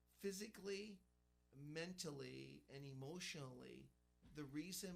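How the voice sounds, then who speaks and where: A man speaks very slowly while music plays behind him. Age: 50s. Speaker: ultramarathon runner. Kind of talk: radio interview.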